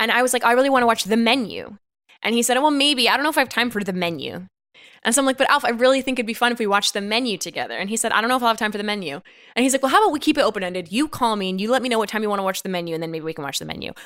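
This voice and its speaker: Animated and lively in intonation, a woman speaks at a very fast pace. Her pitch is fairly high. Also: very clean recording, silent background. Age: 30s. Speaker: comedy podcast host. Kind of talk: casual chat.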